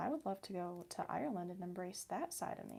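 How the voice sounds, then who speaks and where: A woman with vocal fry speaks fairly quickly at a medium pitch, her tone dark and mellow. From US Midwest. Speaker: ASMR livestreamer. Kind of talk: casual livestream chat while crafting. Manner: animated.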